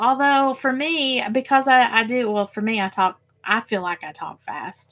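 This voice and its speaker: Speaking fairly slowly in a Tennessee accent, a woman with a high, bright, sharp voice makes very wide pitch swings. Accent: Southern US (Tennessee). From Tennessee, US South. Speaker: crafting YouTuber. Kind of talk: casual live stream chat. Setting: live stream. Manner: filler words, um and uh.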